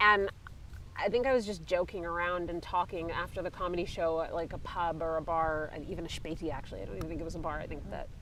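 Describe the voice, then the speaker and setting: A woman with a Canadian accent talks at a very fast pace in a fairly low voice. Her tone is bright and sharp, with vocal fry and fairly even intonation. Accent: Canadian accent, kept despite years in Europe. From Canada, Vancouver, British Columbia. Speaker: comedian. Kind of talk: casual chat. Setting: outdoors.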